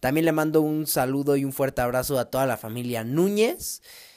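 A man's animated, fairly high-pitched voice at a moderate pace. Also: very clean recording, silent background. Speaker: podcast host. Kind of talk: storytelling.

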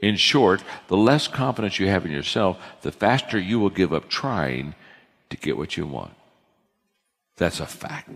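Vocal fry marks a man's very deep, low voice, whose pitch swings very widely. He keeps a moderate pace with long, frequent pauses. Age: 60s. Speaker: leadership speaker. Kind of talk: lecture.

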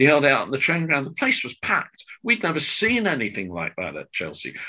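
This man's voice has a bright, sharp tone with vocal fry. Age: 60s. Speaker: football club announcer and writer. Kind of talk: casual chat.

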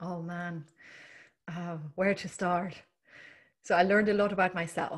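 A woman with a German accent, monotone and flat, at a fairly slow pace with long, frequent pauses. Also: big swings in loudness, very clean recording, silent background. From East Germany. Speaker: leadership and mindset coach. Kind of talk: casual interview. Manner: hesitant with frequent fillers.

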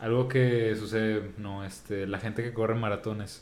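Someone speaks at a very slow pace in a Mexican accent. There is music in the background and audible room echo. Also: man. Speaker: podcast co-host. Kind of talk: casual chat.

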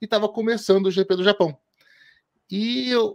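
In a very clean recording with a silent background, a man's voice comes through dry and close with no echo. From Brazil, interior of Paraná. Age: 40s. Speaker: motorsport podcaster and columnist. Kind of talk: interview.

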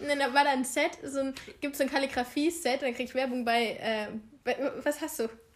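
Her pitch high and her intonation fairly even, a woman talks at a fairly quick pace broken by long, frequent pauses. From eastern Germany. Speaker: podcast co-host. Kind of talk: casual chat. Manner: laughing often.

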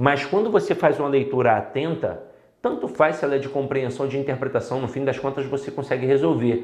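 Animated and fairly high-pitched, a man with a Brazilian accent shows ordinary pitch variation amid audible room echo. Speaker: Portuguese language teacher for civil service exam candidates. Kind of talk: lecture.

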